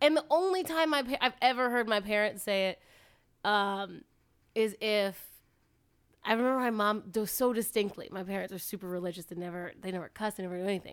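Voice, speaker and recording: Heard on a very clean recording with a silent background, a woman with an American accent speaks at a fairly quick pace, with medium pitch and ordinary pitch variation. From Virginia, US. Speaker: guest host, comedy podcaster. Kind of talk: casual chat.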